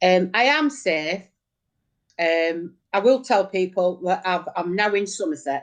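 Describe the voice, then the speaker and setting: With a northern English accent, a woman talks at a fairly slow pace and medium pitch, her intonation lively. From northern England, Oldham (Bardsley). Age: 50s. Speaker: local campaigner. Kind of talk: casual chat.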